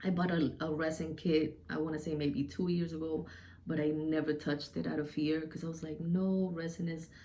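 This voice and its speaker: A woman's very deep, low voice, dark and mellow, in a monotone, flat delivery at a moderate pace with audible room echo. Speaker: DIY and beauty YouTuber. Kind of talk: casual channel intro to camera. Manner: loud; hesitant, many filler ums.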